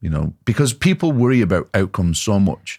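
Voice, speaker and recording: A man talks at a moderate pace with a Lancashire accent. The recording is very clean, with a silent background. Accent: Wigan. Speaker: personal coach and author, former MMA fighter. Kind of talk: podcast interview. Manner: halting, repeats words.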